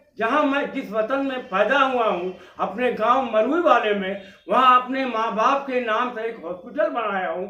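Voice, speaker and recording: A raised, projected voice with ordinary pitch variation comes through noticeable background noise and audible room echo. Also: man, extremely high pitch for a man. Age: 90s. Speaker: poet and Sanskrit scholar. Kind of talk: acceptance speech.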